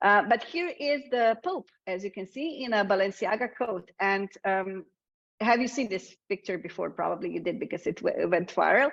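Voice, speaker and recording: A woman with a Slovenian accent, medium pitch and lively intonation, at a moderate pace over a quiet background. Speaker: communications consultant presenting a webinar. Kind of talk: webinar presentation. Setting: online webinar. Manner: frequent fillers and hesitations.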